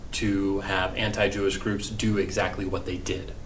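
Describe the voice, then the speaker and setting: Recorded with audible room echo and noticeable background noise, a man with an American accent speaks at a fairly low pitch. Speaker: history teacher. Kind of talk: recorded remote lesson. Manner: casual, hesitant with many fillers.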